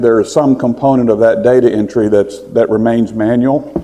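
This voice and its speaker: Noticeable background noise sits behind a man with a Texas accent. He speaks at a fairly quick pace with fairly even intonation. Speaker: physician and health tech founder. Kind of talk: conference presentation. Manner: fast.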